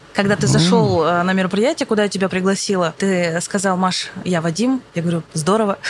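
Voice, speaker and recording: A woman talks fairly quickly at a medium pitch, with hardly any pauses and ordinary pitch variation. Her loudness stays very even over noticeable background noise. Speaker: podcast host. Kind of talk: casual interview chat. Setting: planetarium dome.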